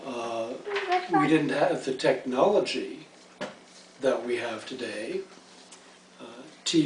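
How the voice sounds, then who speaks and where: Over noticeable background noise and audible room echo, a man speaks at a very slow pace with ordinary pitch variation. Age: 60s. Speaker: interviewee, retired lawyer. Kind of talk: interview. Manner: halting.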